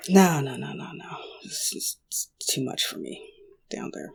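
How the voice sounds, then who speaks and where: In a put-on character voice, gruff and rumbling, the speaker whispers at a moderate pace. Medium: actual play. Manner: grumbling, gruff.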